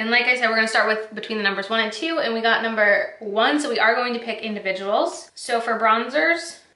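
A woman with ordinary pitch variation and audible room echo. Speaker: beauty vlogger. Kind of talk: casual vlog chat. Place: home room.

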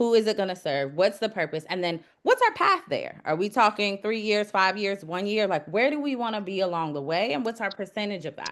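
A woman with an American accent and an unremarkable speaking voice, medium in pitch, with lively intonation and hardly any pauses. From US South, Georgia (DeKalb). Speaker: city council candidate; executive coach. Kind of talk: candidate interview.

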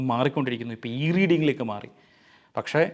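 An unremarkable speaking voice from a man at medium pitch, set against a quiet background. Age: 40s. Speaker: book reviewer. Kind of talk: book review talk.

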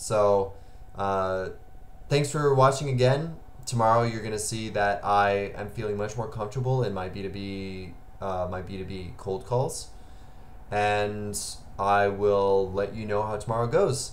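There is light background noise as a man talks at a fairly slow pace. His pitch is fairly low, with ordinary variation. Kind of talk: casual vlog chat. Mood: motivated, reflective. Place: home room.

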